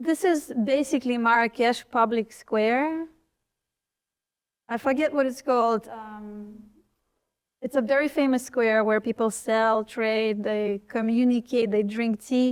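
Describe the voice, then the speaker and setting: This woman speaks with a Russian accent at a fairly slow pace. Her pitch is fairly high, with ordinary variation. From eastern Ukraine (Donbas, Donetsk). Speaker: artist. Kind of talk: panel talk about her artworks. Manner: casual, hesitant with fillers.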